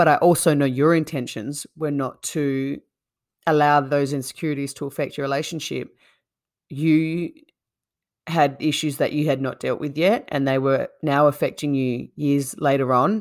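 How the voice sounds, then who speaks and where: With a very deep, low pitch, a woman speaks at a moderate pace and with fairly even intonation, in a very clean recording over a silent background. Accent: Australian. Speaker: podcast co-host, interviewer. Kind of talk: casual chat, interview.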